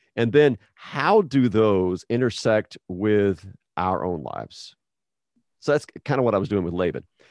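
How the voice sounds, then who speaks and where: In an American accent, a man with an ordinary speaking voice talks at a fairly slow pace and fairly low pitch with lively intonation, the sound dry and close with no echo against a quiet background. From Texas and New Mexico. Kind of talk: casual interview.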